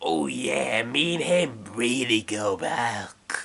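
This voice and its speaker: A man uses a raspy, put-on character voice at a medium pitch. He talks at a very slow pace. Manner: casual, chummy.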